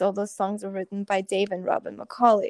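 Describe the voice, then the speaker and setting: A woman speaks with a Russian accent. The recording is very clean with a silent background and a dry, close sound with no echo. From Russia (Moscow), moved to US at 11. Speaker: band musician and pianist. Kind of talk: interview.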